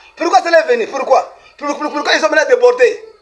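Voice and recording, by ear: A man at a moderate pace with an extremely high pitch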